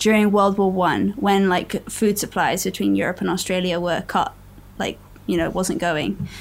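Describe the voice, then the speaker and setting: Woman with an English accent at a moderate pace with ordinary pitch variation. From England. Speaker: actress and podcast co-host. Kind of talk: casual chat.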